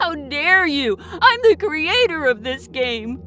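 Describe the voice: Putting on a character voice, a woman speaks slowly at a high pitch with a bright, sharp tone and big pitch swings, faint music playing in the background.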